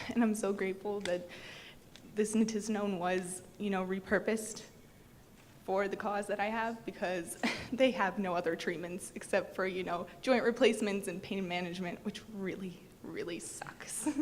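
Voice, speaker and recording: A woman with a normal speaking voice talks at medium pitch and a moderate pace, keeping her intonation fairly even. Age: 20s. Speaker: patient speaker. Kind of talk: testimony.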